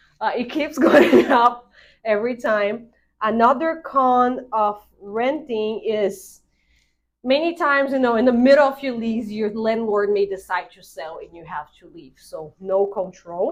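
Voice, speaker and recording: With a non-native accent, a woman with a fairly high voice speaks at a fairly slow pace, her intonation lively and her loudness swinging widely. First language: not English. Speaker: real estate agent. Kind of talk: casual explainer video.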